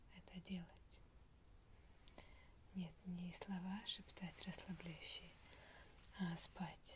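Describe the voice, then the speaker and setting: Whispering at a very slow pace, a soft-spoken woman sounds somewhat breathy over noticeable background noise. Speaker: relaxation video host. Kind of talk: soft-spoken relaxation talk. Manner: soft intimate ASMR whisper.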